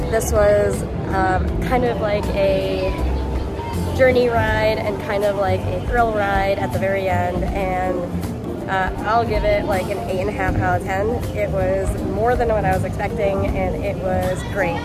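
Over loud music in the background, a woman talks at a very slow pace in a dry sound with no echo. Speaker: travel vlogger. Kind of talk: casual vlog chat. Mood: cheerful, enthusiastic. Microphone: phone near.

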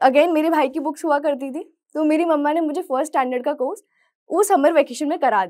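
A dark, mellow tone at a moderate pace, with ordinary pitch variation and a quiet background. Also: woman, high pitch for a woman. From Madhya Pradesh, Morena; Madhya Pradesh. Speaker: chartered accountant; motivational speaker. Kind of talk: motivational talk. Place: studio.

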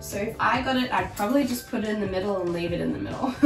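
Audible room echo surrounds a woman's voice, with clear music in the background. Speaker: product reviewer. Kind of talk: product review tutorial. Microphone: camera far.

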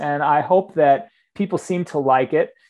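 An ordinary speaking voice with an American accent, at a moderate pace with lively intonation, over a quiet background. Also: man. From US Northeast, suburban New Jersey. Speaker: book publishing executive. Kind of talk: interview conversation.

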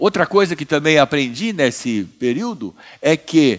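Against a quiet background, a man speaks very slowly with very wide pitch swings. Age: 70s. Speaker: businessman and prison reform founder; speaker. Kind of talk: conference talk. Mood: earnest, reflective. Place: stage. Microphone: headset.

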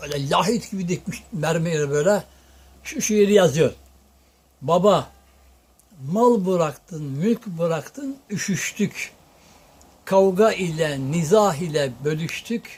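A high-pitched man with lively intonation at a very slow pace, with long, frequent pauses. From Tokat, Turkey. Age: old. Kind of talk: folk storytelling to an interviewer.

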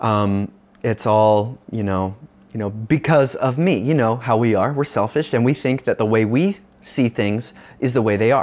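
This man speaks in a Californian accent at a moderate pace. His pitch varies in an ordinary way. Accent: Californian American. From Northern California, US. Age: young. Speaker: pastor. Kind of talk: video sermon talk. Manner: casual, with many fillers. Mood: earnest, reflective. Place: home room. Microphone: lapel.

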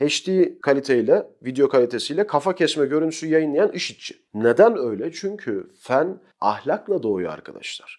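A man's fairly high voice at a moderate pace with hardly any pauses, very wide pitch swings and big swings in loudness, in a very clean recording with a silent background. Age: 30s. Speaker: political commentator, channel host. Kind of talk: solo news commentary monologue.

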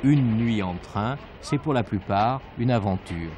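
A man speaks at a very slow pace with lively intonation. Noticeable background noise runs underneath. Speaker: TV news narrator. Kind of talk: news report narration. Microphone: old recording.

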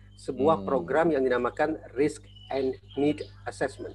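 Faint music sits in the background. A man's speech moves at a moderate pace. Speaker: guest. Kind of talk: interview answer. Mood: serious, concerned. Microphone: earbuds.

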